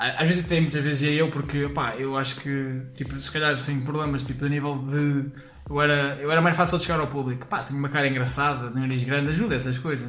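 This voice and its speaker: A man talks at a fairly quick pace with hardly any pauses, in a fairly high pitch. His intonation is monotone and flat, with noticeable background noise behind him. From Portugal, Leiria. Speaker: stand-up comedian. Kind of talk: casual chat. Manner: halting.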